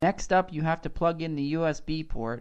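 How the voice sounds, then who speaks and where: A man mumbles as he speaks. The background is quiet. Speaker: YouTube vlogger. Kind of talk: casual commentary vlog. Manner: mumbling.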